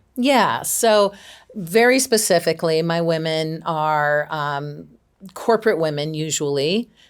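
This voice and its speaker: Lively intonation marks a woman's fairly low-pitched voice at a fairly slow pace. The recording is very clean, with a silent background. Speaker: executive coach. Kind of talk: interview. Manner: loud.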